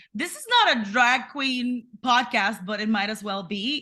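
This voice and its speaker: A woman's speech carries ordinary pitch variation against noticeable background noise. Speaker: podcast co-host. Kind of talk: casual chat. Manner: animated.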